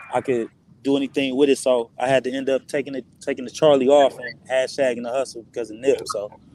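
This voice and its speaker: Noticeable background noise sits behind the voice. A man at medium pitch talks at a very fast pace. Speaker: rapper. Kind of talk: casual chat. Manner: halting.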